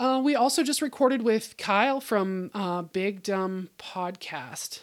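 A woman with a Pacific Northwest accent, medium in pitch, with lively intonation. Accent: General American (Pacific Northwest). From US Pacific Northwest, Bellingham, Washington. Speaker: podcast host, homesteader. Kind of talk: casual solo monologue.

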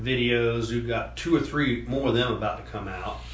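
Through noticeable background noise and audible room echo, a man speaks at a moderate pace. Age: 50s. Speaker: podcast co-host. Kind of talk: casual chat.

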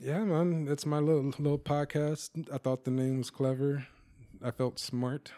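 With an American accent, a man speaks in a fairly high, dark and mellow voice, keeping his loudness very even and his intonation fairly even. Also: moderate pace. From US South, Mississippi. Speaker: comedian. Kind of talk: casual chat.

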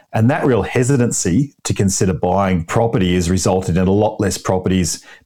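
A man with an Australian accent, fairly low in pitch, with a dark, mellow tone, ordinary pitch variation and a fairly quick pace. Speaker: buyer's advocate. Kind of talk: interview. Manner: upbeat.

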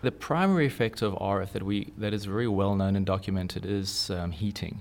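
A man speaks with a South African accent. His pitch is fairly low and his intonation fairly even. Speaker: electronics engineer. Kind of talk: interview. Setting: studio.

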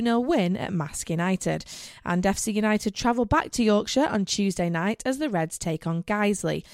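A woman speaks in an unremarkable speaking voice at medium pitch, with lively intonation and a moderate pace. The sound is dry and close, with no echo. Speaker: radio host. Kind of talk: scripted radio show presentation. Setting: radio studio.

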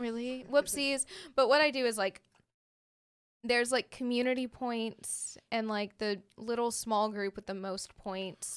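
A woman with a fairly high pitch and an ordinary speaking voice talks at a fairly slow pace with fairly even intonation. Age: 20s. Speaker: college radio station manager and DJ. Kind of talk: casual chat.

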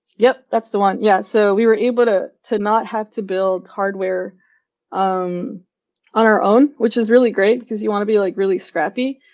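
A woman with a Californian accent speaks at a moderate pace in a medium pitch, her intonation fairly even. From San Francisco (SoMa). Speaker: tech product manager. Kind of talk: casual interview.

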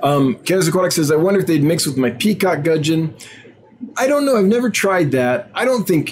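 Over noticeable background noise, a man with a high pitch speaks fairly quickly in an animated tone, his pitch swinging very widely while his loudness stays very even. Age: 40s. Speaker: aquarium fish seller and livestream host. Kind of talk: live stream Q&A chat. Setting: live video stream.

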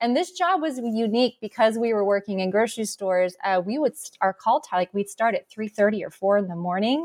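Delivered in an American accent, a plain, everyday voice moves at a fairly quick pace with hardly any pauses and lively intonation, in a dry, close sound with no echo. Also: woman, fairly high pitch for a woman. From Arizona. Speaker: wine company co-founder. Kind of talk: interview.

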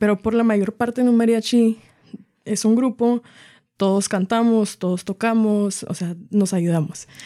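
Dry and close with no echo, a woman's fairly high voice carries a dark, mellow tone, moving at a fairly slow pace with fairly even intonation. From Washington State, US, Mexican-American family. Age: 20s. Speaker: mariachi singer and violinist. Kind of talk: interview conversation.

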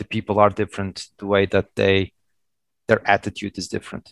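Recorded with a dry, close sound and no echo, a man with a Portuguese accent speaks at a fairly low pitch. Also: quiet background. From Portugal (Madeira). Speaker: telecom IT executive. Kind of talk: interview. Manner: halting.

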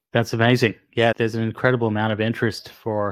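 A man with an Australian accent, fairly low in pitch and monotone, flat in intonation, in a very clean recording with a silent background and a dry, close sound with no echo. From Sydney, Australia. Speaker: podcast host, physician. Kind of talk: interview.

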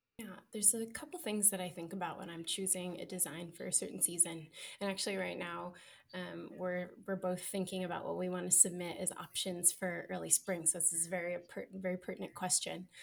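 A woman with a fairly low voice and vocal fry speaks at a fairly quick pace, her intonation fairly even. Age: 30s. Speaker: sewing pattern designer and marketer. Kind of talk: casual chat. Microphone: audio problems.

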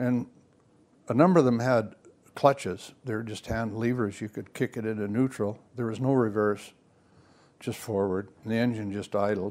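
A man with a western Canadian accent, medium pitch and fairly even intonation, at a moderate pace with long, frequent pauses, on a very clean recording with a silent background. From Vancouver Island, British Columbia. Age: 80s+. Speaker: outdoorsman and fishing mentor. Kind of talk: casual chat. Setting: living room.

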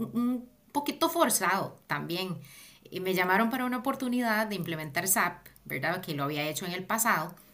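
A woman with a Costa Rican accent, bright and sharp in tone, moderate in pace, with very wide pitch swings. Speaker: project manager. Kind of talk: interview.

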